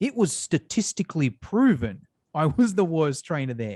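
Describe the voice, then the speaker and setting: A fairly high-pitched man with an Australian accent and very wide pitch swings, in a dry, close sound with no echo and a quiet background. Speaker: fitness educator and business owner. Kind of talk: interview. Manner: animated.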